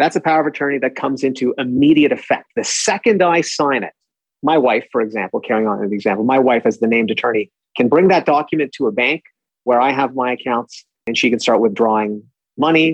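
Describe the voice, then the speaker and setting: Very fast speech in a Canadian accent, ordinary pitch variation, and a dry, close sound with no echo. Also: man, medium pitch for a man. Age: 40s. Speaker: estate lawyer. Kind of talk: interview.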